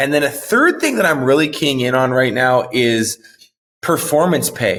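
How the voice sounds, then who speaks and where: With an American accent, a man speaks at a moderate pace. His pitch is fairly high, with ordinary variation. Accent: sounds American rather than Canadian. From Canada. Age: 30s. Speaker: marketing director and podcast host, guest. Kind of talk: interview conversation.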